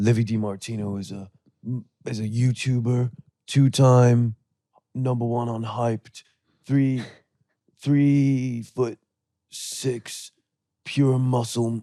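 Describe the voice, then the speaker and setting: Using a put-on character voice at a medium pitch, a man speaks at a very slow pace with monotone, flat intonation and long, frequent pauses. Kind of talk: announcer-style, hyped.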